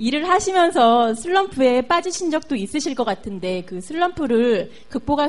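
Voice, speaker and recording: A woman's voice with very wide pitch swings. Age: 40s. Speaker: audience member, aspiring motivational speaker. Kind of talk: audience Q&A.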